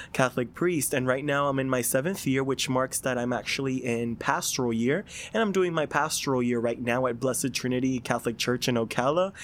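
This man has an ordinary speaking voice, medium in pitch with ordinary pitch variation, moving at a fairly quick pace with very even loudness and hardly any pauses. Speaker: seminarian. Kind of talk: casual chat.

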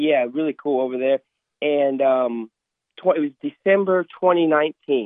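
Here is a man with a normal speaking voice and a fairly high pitch. He talks at a fairly slow pace with ordinary pitch variation. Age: 20s. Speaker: tournament prize winner. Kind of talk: casual interview.

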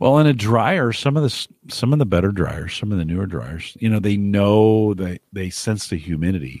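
Heard in a very clean recording with a silent background, a man with a Midwestern US accent speaks at a moderate pace and fairly low pitch, with lively intonation and hardly any pauses. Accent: US Midwest. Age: 50s. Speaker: podcast host. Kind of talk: casual chat. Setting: home studio.

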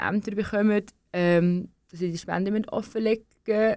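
A woman talks at a moderate pace in a monotone, flat intonation on a very clean recording with a silent background. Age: 20s. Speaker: young political candidate. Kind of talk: radio interview. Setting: studio.

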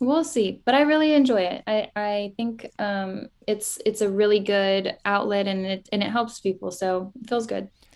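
In a normal speaking voice, a woman of medium pitch talks at a moderate pace with ordinary pitch variation and hardly any pauses. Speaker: podcast host and lash salon owner. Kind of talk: casual interview chat.

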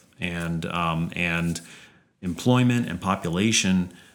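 A man talks in a very deep, low pitch with fairly even intonation. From Louisiana, Baton Rouge. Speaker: economics professor. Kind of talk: interview.

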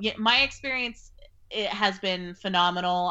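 With a Californian accent, a woman speaks at a fairly low pitch and ordinary pitch variation. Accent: US West Coast (Californian). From rural Northern California. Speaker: novelist. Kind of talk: interview conversation.

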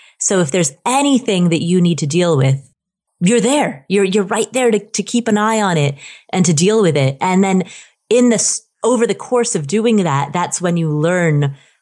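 With lively intonation and a Midwestern accent, a woman talks at a moderate pace. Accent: General American (Midwest). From US Midwest, Ohio. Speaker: personal finance blogger. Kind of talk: casual interview.

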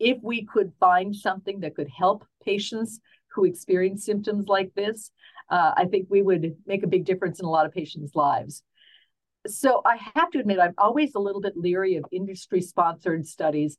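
At a medium pitch with ordinary pitch variation, this woman talks. She has a plain, everyday voice and a moderate pace. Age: 60s. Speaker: optometrist. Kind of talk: expert interview.

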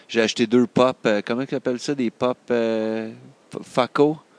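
A man speaks with a Quebec accent at medium pitch. His pace is moderate, and the sound is dry and close with no echo. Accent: Québécois French. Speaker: comics fan. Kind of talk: casual chat.

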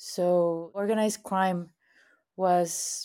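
A woman speaks with a Spanish accent in a dark, mellow tone and a monotone, flat intonation. The recording is very clean, with a silent background. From Mexico, Monterrey. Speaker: activist and producer. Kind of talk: interview.

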